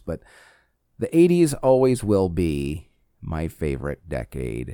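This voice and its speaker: Captured on a very clean recording with a silent background, a man with a very deep, low pitch and a dark, mellow tone speaks at a fairly slow pace. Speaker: podcast host. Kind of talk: solo monologue podcast. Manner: talkative.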